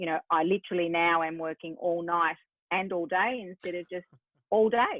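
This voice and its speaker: At a moderate pace, a woman with an Australian accent speaks in a fairly low voice with ordinary pitch variation. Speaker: business strategist. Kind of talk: podcast interview.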